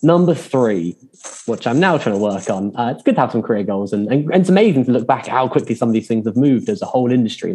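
Talking at a very fast pace, a man has a medium pitch, lively intonation and a dark, mellow tone. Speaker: tutoring company founder. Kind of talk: panel discussion. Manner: fast talker.

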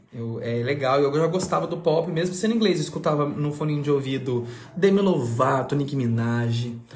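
In a room with audible echo and noticeable background noise, a man speaks at a moderate pace in an animated tone, with a fairly high pitch and ordinary pitch variation. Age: 20s. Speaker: podcast host. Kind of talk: casual chat.

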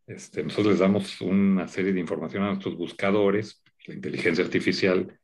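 A man talks at a moderate pace. His pitch is fairly low, with vocal fry. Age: 50s. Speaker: media executive and TV producer. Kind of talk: interview conversation.

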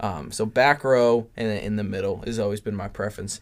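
A man talks at a fairly quick pace and a medium pitch in an ordinary speaking voice. The recording is very clean, with a silent background. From Southern California. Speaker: film fan guest. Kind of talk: casual chat.

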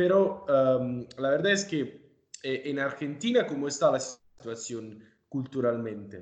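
A man speaking at a very slow pace with an Italian accent. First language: Italian (speaking Spanish). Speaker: podcast host. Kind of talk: interview. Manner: halting.

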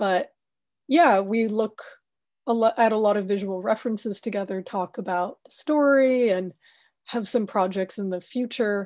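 A woman with an American accent uses a normal speaking voice at a fairly high pitch and moderate pace, with ordinary pitch variation over a quiet background. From United States. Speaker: cinematographer. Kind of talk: interview.

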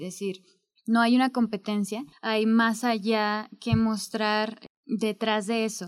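Monotone, flat intonation at a very slow pace. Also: woman. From Mexico, Zacatecas. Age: 20s. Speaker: history student, essay prize winner. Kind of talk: interview.

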